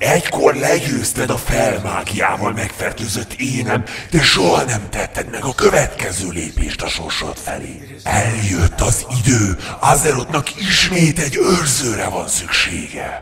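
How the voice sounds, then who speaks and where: A man performs a cartoonish character voice at a medium pitch, with hardly any pauses. Background noise is clearly audible. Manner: solemn, persuasive.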